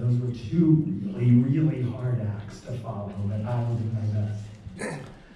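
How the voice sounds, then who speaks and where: A man's medium-pitched voice at a very slow pace, with ordinary pitch variation, audible room echo and noticeable background noise. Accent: American. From US, rural Pennsylvania. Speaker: professor. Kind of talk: public talk. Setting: stage with audience.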